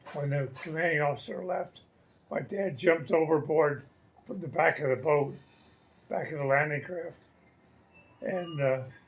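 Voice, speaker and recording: At a moderate pace, a man with a fairly high pitch and a somewhat breathy voice keeps his intonation fairly even, pausing long and often. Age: 80s+. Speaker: retiree telling family war story. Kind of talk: family storytelling interview answer.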